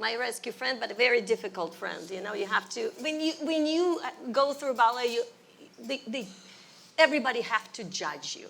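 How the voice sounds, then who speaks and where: A high-pitched woman in a Russian accent, with very wide pitch swings and big swings in loudness. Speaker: ballet teacher. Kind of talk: interview.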